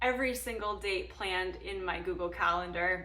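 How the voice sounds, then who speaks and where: Noticeable background noise and audible room echo around a female speaker. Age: 30s. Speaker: nursing student and vlogger. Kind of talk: casual vlog talk.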